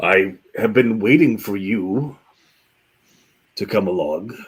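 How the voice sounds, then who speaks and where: In a put-on character voice, a man speaks at a fairly slow pace with a fairly low pitch and ordinary pitch variation. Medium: actual play. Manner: theatrical, welcoming.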